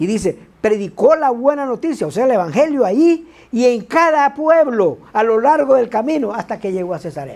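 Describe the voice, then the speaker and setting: The speaker has an animated tone and a moderate pace. There are hardly any pauses. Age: 60s. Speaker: preacher. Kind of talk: sermon.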